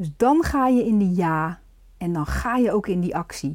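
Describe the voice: Her voice sits at a fairly low pitch with a slightly mellow tone. The woman keeps a moderate pace and lively intonation.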